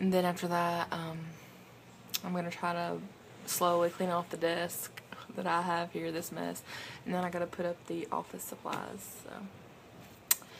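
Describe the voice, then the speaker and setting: A woman with a Southern US accent speaks fairly slowly in a flat monotone, pausing long and often. Noticeable background noise runs behind her. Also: fairly low pitch for a woman. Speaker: vlogger. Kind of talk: casual vlog. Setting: in a car.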